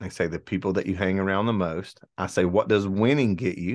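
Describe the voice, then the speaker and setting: The speaker has an Alabama accent, with fairly even intonation and a fairly quick pace over a quiet background. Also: man. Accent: Southern US (Alabama). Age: 40s. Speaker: entrepreneur and former police officer. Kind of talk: casual interview chat.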